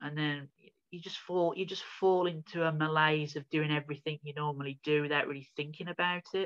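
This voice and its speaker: With a Birmingham accent, a man speaks at a fairly high pitch in a monotone, flat intonation. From England, Birmingham (Midlands). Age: 40s. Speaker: founder of a small church, self-described prophet. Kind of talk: interview testimony.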